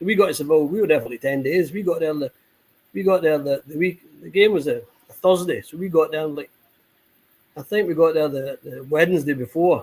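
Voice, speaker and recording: A man talks at a fairly quick pace, yet with long, frequent pauses. His fairly high voice has ordinary pitch variation and big swings in loudness. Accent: Scottish. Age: 60s. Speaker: football supporters club member. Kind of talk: casual chat. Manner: halting, repetitive.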